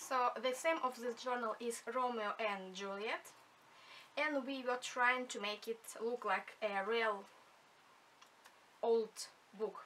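A woman with a non-native accent speaks at a very slow pace with long, frequent pauses, her bright, sharp tone sitting at a fairly high pitch with ordinary pitch variation. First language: not English. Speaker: junk journal maker. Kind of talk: craft flip-through talk to camera.

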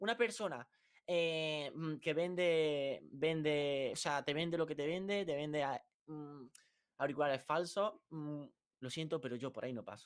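Speaking at a fairly slow pace, a man with a fairly high pitch shows ordinary pitch variation over a quiet background. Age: 20s. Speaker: youtuber. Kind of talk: heated debate. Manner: halting. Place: home room.

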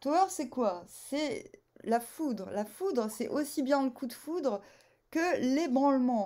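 A woman with a high pitch speaks with lively intonation against a quiet background. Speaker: tarot reader. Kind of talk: casual vlog chat. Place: home room. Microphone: phone near.

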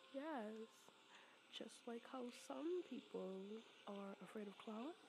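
Over noticeable background noise, a woman with a fairly high pitch speaks at a very slow pace, her pitch swinging very widely. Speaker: ASMR roleplay creator. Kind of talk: ASMR girlfriend roleplay. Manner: soft, affectionate, teasing.

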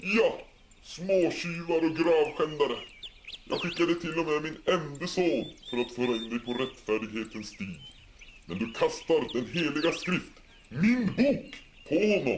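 Pitching his voice fairly high, a man speaks in a put-on character voice. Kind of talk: mock-biblical preaching. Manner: solemn, reproachful.

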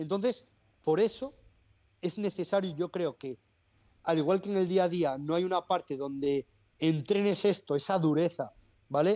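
Here a man speaks at a moderate pace with high pitch, ordinary pitch variation and a dark, mellow tone. Long pauses break up his speech often. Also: quiet background. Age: 30s. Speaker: personal trainer. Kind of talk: interview. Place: home room. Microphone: earbuds.

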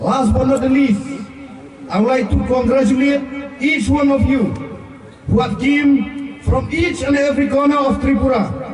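A man's voice is extremely high-pitched, with fairly even intonation and very even loudness at a moderate pace. Audible room echo and light background noise are present. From Meghalaya. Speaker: rally speaker. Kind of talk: rally speech. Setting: rally with crowd. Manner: formal; earnest. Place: stadium.

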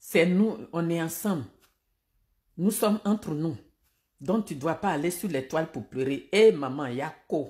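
Breathing somewhat audibly, a woman with a fairly low pitch and a dark, mellow tone speaks at a fairly slow pace with lively intonation and long, frequent pauses against a quiet background. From Côte d'Ivoire. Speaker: political commentator. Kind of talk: live-stream political commentary. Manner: animated. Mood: indignant, critical. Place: home room. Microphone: phone near.

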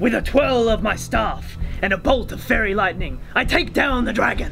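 Over loud background noise, a man uses a put-on character voice at an extremely high pitch and a moderate pace. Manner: formal, know-it-all.

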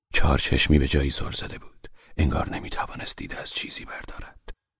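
A man speaks with a very deep, low pitch and vocal fry. He moves at a fairly quick pace. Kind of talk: audiobook narration, literary reading aloud of a translated novel. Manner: steady, formal, even literary delivery; solemn, measured pace.

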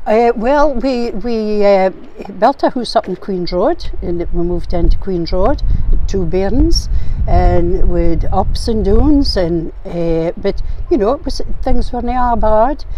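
A woman with a northeastern Scottish accent, very slow pace and lively intonation, in a dry sound with no echo and light background noise. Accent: Scottish, north-east. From Aberdeenshire, Scotland. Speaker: arts and crafts maker. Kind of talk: interview answer. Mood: reflective, calm storytelling. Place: waterside.

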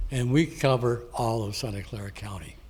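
A man speaks at a medium pitch and a fairly slow pace, somewhat breathy with ordinary pitch variation. Audible room echo surrounds the voice. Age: 80s+. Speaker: public commenter, Marine veteran. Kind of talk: public comment at council meeting.

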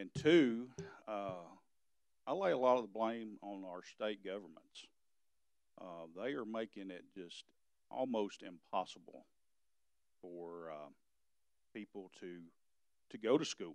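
A man speaks with a fairly low pitch at a fairly slow pace, leaving long, frequent pauses. His loudness swings widely, and the sound is dry with no echo over a quiet background. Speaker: EMS director giving report. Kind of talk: meeting report. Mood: concerned, frustrated. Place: hall.

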